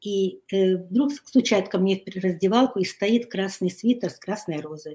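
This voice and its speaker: A somewhat breathy voice shows ordinary pitch variation while keeping a moderate pace. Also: woman. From Ukraine, Kyiv; lives in Hungary. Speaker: writer and life coach. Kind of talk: interview. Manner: halting.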